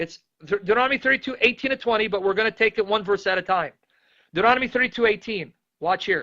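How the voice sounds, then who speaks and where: Raised and projected, a man's high-pitched voice has a bright, sharp tone and races at a very fast pace in a dry, close sound with no echo. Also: ordinary pitch variation. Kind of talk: bible teaching. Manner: loud; animated.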